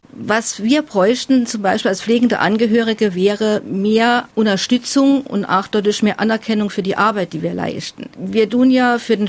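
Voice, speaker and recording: A woman speaks with fairly even intonation at a fairly high pitch, over noticeable background noise. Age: 40s. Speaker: family carer. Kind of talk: interview testimony.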